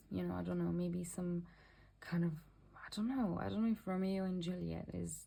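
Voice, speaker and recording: A woman with a non-native accent speaks at a moderate pace. Audible room echo surrounds her voice. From Mauritius. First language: not English. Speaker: tarot reader. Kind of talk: tarot reading. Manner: halting.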